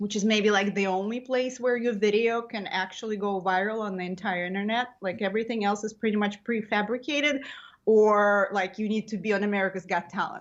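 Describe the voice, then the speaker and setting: A woman talks at a fairly quick pace with a non-native accent. Her pitch is medium and her intonation fairly even. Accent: foreign. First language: not English. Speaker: comedian. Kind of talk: casual interview chat. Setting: podcast.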